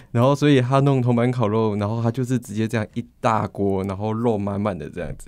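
A man speaking at a fairly quick pace with hardly any pauses and ordinary pitch variation over a quiet background. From Taiwan, Kaohsiung (Xiaogang); Taiwan. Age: 20s. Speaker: university student. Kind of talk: interview; interview answer. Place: studio.

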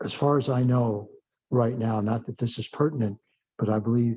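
Dark and mellow in tone, a man's somewhat breathy voice sits at medium pitch, with fairly even intonation and a moderate pace. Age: 70s. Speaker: committee chair. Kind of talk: public meeting. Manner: halting, many fillers.

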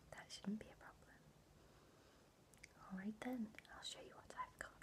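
Whispering at a moderate pace, a woman's voice shows big swings in loudness. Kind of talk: soft-spoken roleplay, addressing viewer. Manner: soft, kind close-up ASMR voice. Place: home room. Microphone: webcam.

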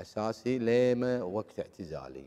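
A man with a Kuwaiti accent and a dark, mellow tone, against a quiet background. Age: 50s. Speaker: former footballer; interview guest. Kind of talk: interview.

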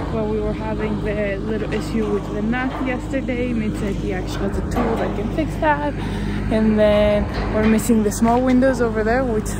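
Music plays in the background as a woman talks at a fairly quick pace, the sound dry with no echo. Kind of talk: casual vlog chat. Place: open country. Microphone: phone near.

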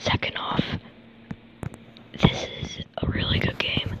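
Whispered female speech against noticeable background noise. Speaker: gamer. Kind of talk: casual gameplay commentary.

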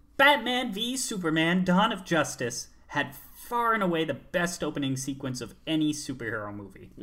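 A put-on character voice at a middle pitch with very wide pitch swings. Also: moderate pace. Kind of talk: comedy film review. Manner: enthusiastic.

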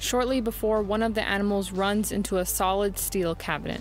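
A woman at a moderate pace, dry sound with no echo, music in the background. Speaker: video essay narrator. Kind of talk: commentary.

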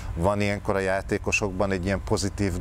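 A man at fairly low pitch, very fast and monotone with flat intonation, over light background noise. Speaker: TV morning show host. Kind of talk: studio interview discussion. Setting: studio. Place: studio.

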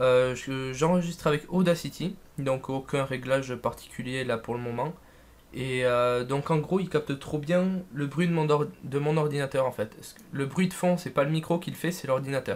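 Ordinary pitch variation at a moderate pace. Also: man, fairly high pitch for a man. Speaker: tech and gaming YouTuber; gamer youtuber. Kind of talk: unboxing video; casual unboxing commentary. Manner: casual, hesitant with many fillers. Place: home room. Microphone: new USB condenser mic, picks up background noise; studio mic.

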